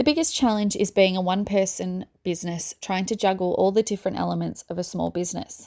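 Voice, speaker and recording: In an Australian accent, a woman with a dark, mellow tone and medium pitch speaks at a fairly quick pace with ordinary pitch variation, on a very clean recording with a silent background. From Melbourne, Australia. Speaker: small business owner, earring maker. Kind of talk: reading aloud an interview Q&A.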